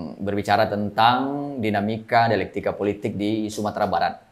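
A man talks at a fairly quick pace in one sentence. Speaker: political show host, news editor. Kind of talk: casual interview talk. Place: studio. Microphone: lapel.

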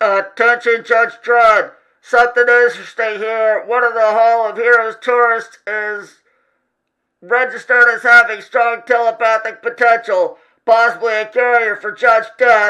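A man's put-on character voice, extremely high, raised and projected, with monotone, flat intonation at a moderate pace. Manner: brisk, official.

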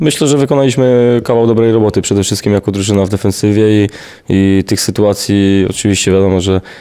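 Over a quiet background, a man talks at a very fast pace. His fairly low voice keeps a fairly even intonation. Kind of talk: interview answer. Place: hall. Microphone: handheld.

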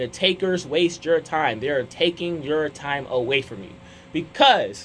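A man is speaking over light background noise. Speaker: radio show host. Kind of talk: talk radio monologue giving advice. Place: studio. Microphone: studio mic.

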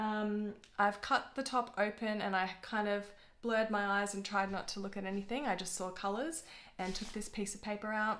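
At a moderate pace, a woman delivers her words. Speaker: vlogger. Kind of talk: casual vlog chat. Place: home room.

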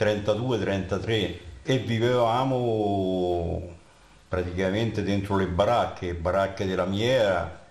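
Speaking slowly, a man uses a low pitch with ordinary pitch variation. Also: slightly mellow tone.

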